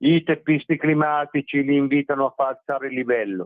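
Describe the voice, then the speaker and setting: This man's voice sits fairly high in pitch. He speaks at a moderate pace. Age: 60s. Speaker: journalist and writer. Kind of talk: radio interview.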